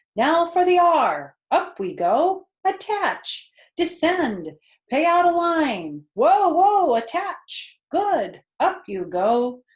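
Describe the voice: In a put-on character voice, a woman speaks at an extremely high pitch. Her pace is slow, with big pitch swings.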